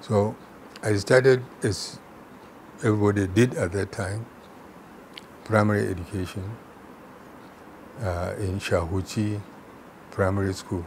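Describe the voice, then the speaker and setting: A man with a northern Nigerian accent speaks in a fairly low pitch with fairly even intonation. His pace is fairly slow, with long, frequent pauses. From Nigeria, Kano. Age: 80s+. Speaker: retired chemistry professor and public servant. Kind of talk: interview.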